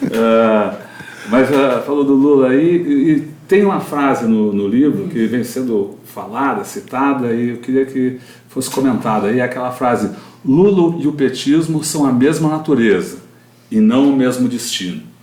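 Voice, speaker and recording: Amid noticeable background noise and audible room echo, a man at a medium pitch speaks fairly slowly with lively intonation. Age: 70s. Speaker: journalist interviewer. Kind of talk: interview. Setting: live stream.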